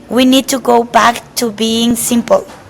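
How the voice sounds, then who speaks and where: With a Spanish accent, a woman speaks at a fairly slow pace in a monotone, flat intonation against noticeable background noise. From Mexico. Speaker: chef. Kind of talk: interview. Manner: halting, many repetitions and fillers.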